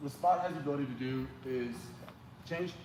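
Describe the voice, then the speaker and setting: Over noticeable background noise and audible room echo, a man talks at a fairly quick pace in a medium pitch. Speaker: church lighting technician. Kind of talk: training session. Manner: fast; casual.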